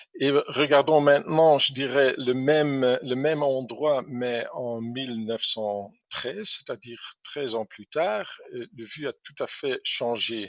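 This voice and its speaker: A man speaks at a very slow pace with hardly any pauses, a medium pitch, ordinary pitch variation and big swings in loudness. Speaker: drone industry expert, presenter. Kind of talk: presentation, webinar talk. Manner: halting, many fillers.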